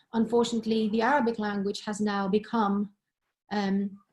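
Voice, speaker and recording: Somewhat breathy speech at a fairly quick pace. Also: woman. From Greece, Thessaloniki. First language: Greek. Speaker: professor. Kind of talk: webinar discussion.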